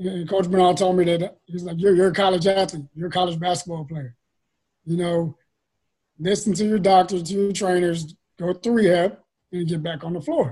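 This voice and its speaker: This man's voice has a dark, mellow tone and a high pitch, delivered at a moderate pace. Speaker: high school basketball coach. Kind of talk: casual chat. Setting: video call. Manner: animated.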